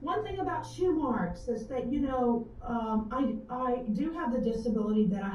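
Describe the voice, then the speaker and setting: Her intonation lively, a woman with an American accent speaks at a moderate pace over noticeable background noise. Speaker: author. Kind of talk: live web show interview. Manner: halting.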